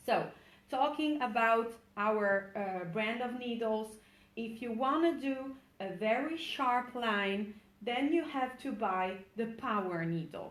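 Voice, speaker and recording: In a room with audible echo, a woman with an Italian accent speaks at a very slow pace, her fairly high pitch showing ordinary variation. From Italy. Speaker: micropigmentation trainer, former tattoo artist. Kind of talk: webinar tutorial. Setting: online webinar. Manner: halting, with many fillers.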